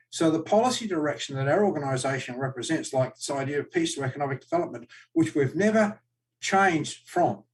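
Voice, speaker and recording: Somewhat breathy, a man speaks at a very fast pace. His fairly high pitch rises and falls with lively intonation. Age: 60s. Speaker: political party official and candidate. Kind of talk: live-streamed political Q&A. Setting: live stream webcast. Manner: animated.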